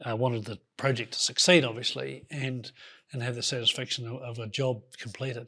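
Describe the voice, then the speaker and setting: A man at medium pitch speaks fairly quickly with fairly even intonation. His tone is bright and sharp, and his loudness swings a lot. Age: 60s. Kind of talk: interview conversation. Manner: halting, many false starts.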